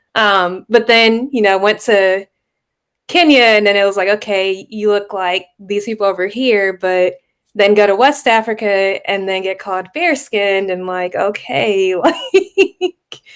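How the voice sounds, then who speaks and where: A woman with an American accent and an ordinary speaking voice, medium in pitch and fairly slow in pace, with ordinary pitch variation. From Texas. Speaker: family history platform team member. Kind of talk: casual panel discussion. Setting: live stream.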